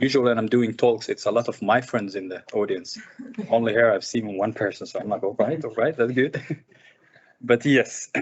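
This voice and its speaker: A man of medium pitch with an Arabic accent, at a moderate pace and with fairly even intonation. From Sudan, of Somali parents. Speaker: filmmaker. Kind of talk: seminar conversation. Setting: seminar with live and online audience.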